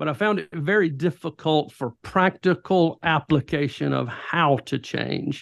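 Lively intonation marks a man's speech, set at a fairly high pitch. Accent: Southern US. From US South, rural southwest Georgia. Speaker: pastor and author. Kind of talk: interview, personal testimony and teaching. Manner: animated.

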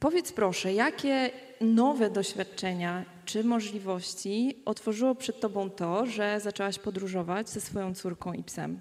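Noticeable background noise behind a woman's fairly slow, medium-pitched speech with ordinary pitch variation. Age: 30s. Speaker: podcast host and moderator. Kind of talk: moderated panel discussion. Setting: stage with audience.

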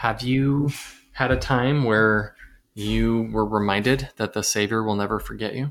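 With an American accent and an unremarkable speaking voice, a man talks at a fairly low pitch, fairly slowly, with fairly even intonation. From US South. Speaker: podcast host. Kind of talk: casual discussion.

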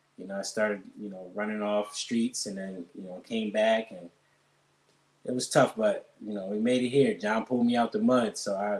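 A man with an American accent has an unremarkable speaking voice, fairly low in pitch. His intonation is fairly even, while his loudness swings widely. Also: moderate pace. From Allentown, Pennsylvania. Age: 30s. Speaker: barber. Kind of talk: casual interview.

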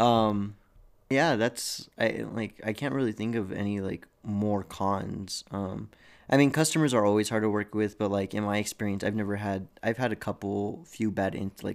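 With a normal speaking voice, a man talks at a moderate pace in a fairly low pitch and fairly even intonation. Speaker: podcast co-host, restaurant server. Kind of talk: casual chat.

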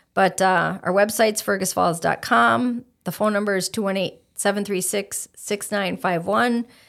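A woman speaks with an Upper Midwest accent at a medium pitch and a moderate pace, with hardly any pauses. Her pitch varies in an ordinary way, and the recording is very clean with a silent background. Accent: Upper Midwest (Minnesota). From Minnesota (Stillwater). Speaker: chamber of commerce president. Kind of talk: casual interview.

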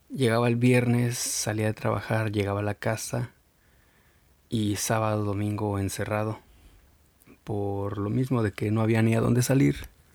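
Long, frequent pauses break up this man's speech, and his intonation stays fairly even at a fairly low pitch. The recording is very clean, with a silent background. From Mexico. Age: 30s. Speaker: podcast host. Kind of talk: solo podcast monologue. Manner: halting, with fillers and repetitions.

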